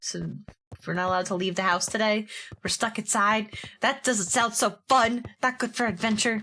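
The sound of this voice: Unforced reading with a normal amount of pitch movement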